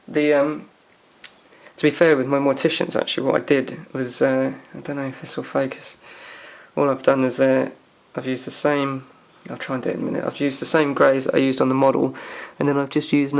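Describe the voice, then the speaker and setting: Fairly quick delivery in a monotone, flat intonation, broken by long, frequent pauses. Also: man. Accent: English. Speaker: hobbyist miniature painter. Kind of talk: tutorial. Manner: casual, hesitant with fillers.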